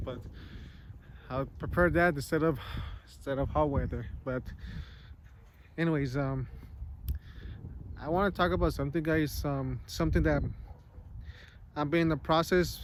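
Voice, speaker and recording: Mumbling at a moderate pace, a man with a fairly high pitch and ordinary pitch variation pauses long and often. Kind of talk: casual talk to camera. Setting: outdoors. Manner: mumbling, hesitant.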